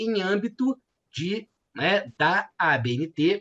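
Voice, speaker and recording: A man speaks with lively intonation. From Minas Gerais, Brazil. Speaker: law professor, thesis examiner. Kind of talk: academic thesis examination. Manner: hesitant, many fillers.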